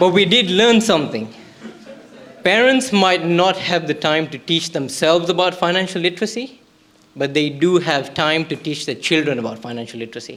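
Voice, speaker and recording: A man speaks with a non-native accent at a high pitch. His intonation is lively. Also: moderate pace. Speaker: startup pitch presenter. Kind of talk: pitch presentation.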